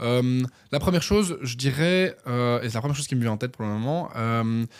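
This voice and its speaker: A man talks at a fairly quick pace and medium pitch with ordinary pitch variation, on a very clean recording with a silent background. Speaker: entrepreneur, former radio and TV presenter. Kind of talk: podcast interview. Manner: fast; hesitant, many fillers.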